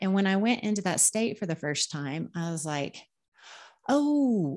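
A plain, everyday voice with lively intonation at a moderate pace. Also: woman. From Oklahoma, US Great Plains. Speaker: medium and spiritual healer. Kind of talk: interview. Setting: video call.

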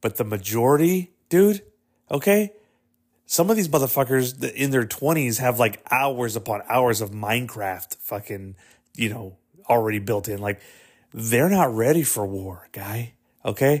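In a very clean recording with a silent background, the speaker uses lively intonation at a moderate pace with an American accent. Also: man, medium pitch for a man. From Texas. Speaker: solo podcast host. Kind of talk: casual solo monologue. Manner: animated.

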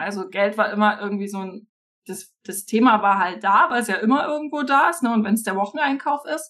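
Fairly quick speech in a normal speaking voice, its pitch varying in an ordinary way. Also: woman. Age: 30s. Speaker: financial coach. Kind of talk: casual interview chat.

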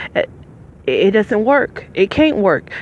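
A woman's plain, everyday voice, medium in pitch, at a fairly slow pace with ordinary pitch variation. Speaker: podcaster, formerly homeless. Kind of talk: casual monologue. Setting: outdoors at a bus stop.

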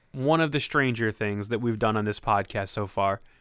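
The recording is very clean with a silent background. It carries an unremarkable speaking voice. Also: man. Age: 30s. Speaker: podcast co-host. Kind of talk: casual chat.

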